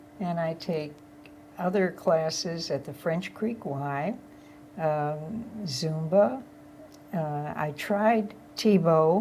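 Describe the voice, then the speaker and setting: Speaking very slowly with long, frequent pauses, a woman has a fairly low pitch, a dark, mellow tone and a somewhat breathy quality. Her intonation is lively, and room echo is audible. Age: 80s+. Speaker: retired flight attendant. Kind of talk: casual chat.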